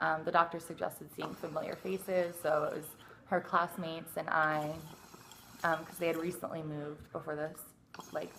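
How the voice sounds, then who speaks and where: A woman's fairly low voice, flat and monotone, at a fairly quick pace. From Detroit, Michigan, later Tucson. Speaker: ASMR YouTuber. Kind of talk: casual chat.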